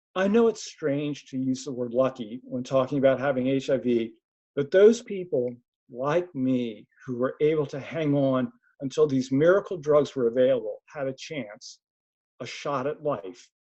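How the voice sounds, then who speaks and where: A man with an American accent talks at a moderate pace in a plain, everyday voice. His pitch is medium, with ordinary pitch variation. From US Northeast, Philadelphia. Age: 60s. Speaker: research participant and community advisor. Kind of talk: webinar presentation. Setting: webinar.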